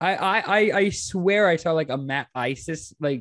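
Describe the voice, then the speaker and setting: This man has a normal speaking voice, fairly high in pitch, with ordinary pitch variation. He talks at a fairly slow pace over a quiet background. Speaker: podcast host. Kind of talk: casual podcast conversation.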